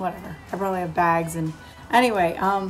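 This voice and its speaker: With music in the background and audible room echo, a woman speaks fairly quickly at a medium pitch, her intonation fairly even. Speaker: vlogger. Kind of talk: casual vlog. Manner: chatty, filler words.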